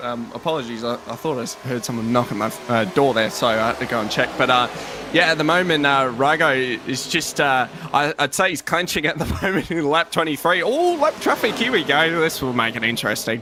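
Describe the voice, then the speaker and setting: Over noticeable background noise, a man with an Australian accent talks at a fairly quick pace, his pitch fairly high with ordinary pitch variation. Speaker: sim racing commentator. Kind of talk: live commentary. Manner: animated.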